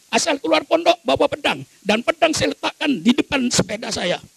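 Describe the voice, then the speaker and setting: Against noticeable background noise, a man talks at a moderate pace in a dry, close sound with no echo. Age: 80s+. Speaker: Islamic cleric. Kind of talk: speech. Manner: animated.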